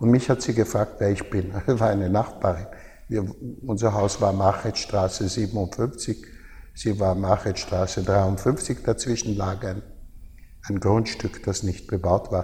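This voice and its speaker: Slow-paced and fairly low, a man's somewhat breathy voice has a dark, mellow tone and fairly even intonation. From Austria, Baden near Vienna. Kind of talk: interview.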